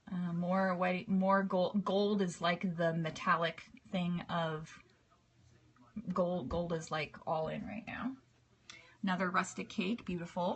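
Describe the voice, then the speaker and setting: A woman with a fairly low pitch speaks at a fairly slow pace, somewhat breathy and relaxed in tone. Her intonation stays fairly even, with long, frequent pauses. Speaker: cake decorating teacher. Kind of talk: live stream tutorial. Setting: live video broadcast.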